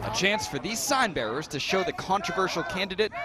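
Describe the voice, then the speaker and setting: Against noticeable background noise, a man with a high pitch speaks in a raised, projected voice. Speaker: TV news reporter and anchor. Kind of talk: news package voice-over.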